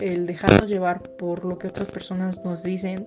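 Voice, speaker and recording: Noticeable background noise sits behind a woman speaking at a medium pitch. Her pace is fairly slow and her intonation monotone and flat. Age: 20s. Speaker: psychologist. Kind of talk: personal testimony.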